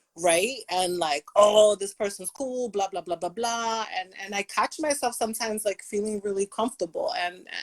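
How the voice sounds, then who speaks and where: This woman has an ordinary speaking voice, keeps a moderate pace, and shows ordinary pitch variation. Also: medium pitch for a woman. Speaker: podcast co-host. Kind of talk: casual chat.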